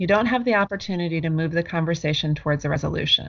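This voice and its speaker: Her voice fairly low and somewhat breathy, a woman speaks at a very fast pace with lively intonation. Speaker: clinical social worker. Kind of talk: interview with role-play.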